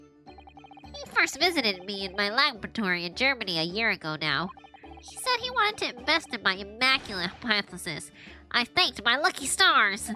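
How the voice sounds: Putting on a character voice, a woman uses a nasal, fairly high pitch with very wide pitch swings at a fairly quick pace over clear music in the background.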